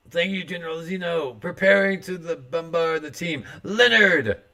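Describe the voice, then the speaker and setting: A man puts on a character voice, pitched high. He speaks at a moderate pace. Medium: game stream. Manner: formal, deferential.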